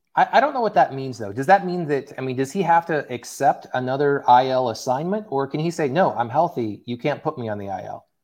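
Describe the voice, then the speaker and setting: Against a quiet background, the speaker uses an American accent, lively intonation and big swings in loudness, with hardly any pauses. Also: man, fairly high pitch for a man, fairly quick pace. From Oklahoma (Tulsa). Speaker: sports podcast host. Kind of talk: casual chat.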